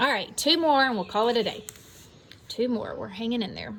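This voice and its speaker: A somewhat breathy voice speaks at a fairly quick pace, with audible echo in the room. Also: woman. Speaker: math teacher. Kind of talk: lecture. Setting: outdoors.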